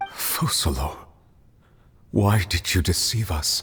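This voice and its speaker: A put-on character voice comes through at a low pitch. The delivery moves at a fairly slow pace. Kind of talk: video game voice acting. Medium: video game.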